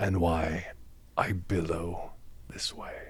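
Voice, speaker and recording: Whispering in a put-on character voice, a man speaks very slowly with a hissing sound. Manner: hissing, whispering.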